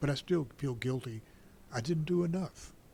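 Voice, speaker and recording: This man's voice is somewhat breathy. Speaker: war veteran. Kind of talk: personal testimony in interview.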